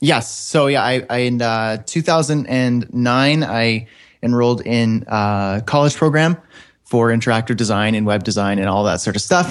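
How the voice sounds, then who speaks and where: A normal speaking voice from a man with a Canadian accent, medium pitch, and a moderate pace. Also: ordinary pitch variation, quiet background. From northern Canada. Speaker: web developer and online course creator. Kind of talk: interview.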